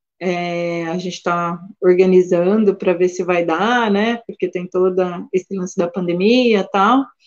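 A woman with an unremarkable speaking voice talks at a fairly slow pace, her medium pitch carried on fairly even intonation. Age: 40s. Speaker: animal sanctuary keeper. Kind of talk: interview. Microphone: connection briefly dropped.

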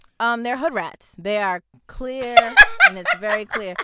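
This woman has a bright, sharp tone and an American accent. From New Jersey. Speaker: podcast host and media personality. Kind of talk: casual chat. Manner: animated.

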